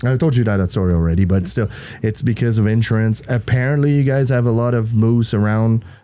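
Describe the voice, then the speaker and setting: With a French accent and a dark, mellow tone, a man at medium pitch talks at a fairly quick pace with ordinary pitch variation and very even loudness in a very clean recording with a silent background. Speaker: podcast host, former truck driver. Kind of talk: casual chat.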